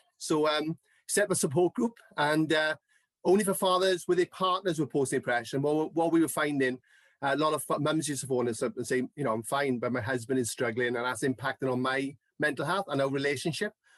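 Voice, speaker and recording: This man talks at a very fast pace in a South Wales Valleys accent, his pitch fairly high. The sound is dry and close with no echo, over a quiet background. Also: ordinary pitch variation. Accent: Welsh (South Wales valleys). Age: 40s. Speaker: mental health advocate. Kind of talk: podcast interview.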